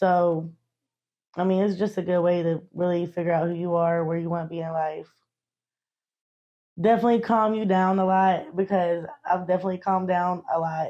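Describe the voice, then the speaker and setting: A woman talks with a Southern US accent and a dark, mellow tone. Her pitch is fairly low, her intonation monotone and flat, and her pace fairly quick. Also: quiet background. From western North Carolina. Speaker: interviewee. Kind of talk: interview. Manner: casual.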